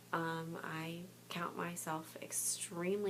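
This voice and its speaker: A quiet woman talks in a very deep, low voice with monotone, flat intonation. There is noticeable background noise and audible room echo. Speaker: clothing consultant and special education teacher. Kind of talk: casual vlog chat. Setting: home boutique at night. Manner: hesitant, many fillers.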